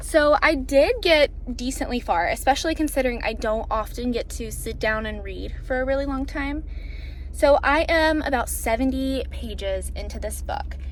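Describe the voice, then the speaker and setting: A woman talks at a moderate pace in an upbeat tone, with audible room echo. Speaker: booktuber vlogger. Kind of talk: casual vlog talk to camera. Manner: chatty, upbeat.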